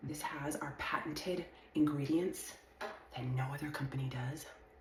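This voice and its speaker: Woman with a very deep, low pitch and ordinary pitch variation, amid audible room echo and noticeable background noise. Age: 50s. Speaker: skincare influencer. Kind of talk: sales pitch.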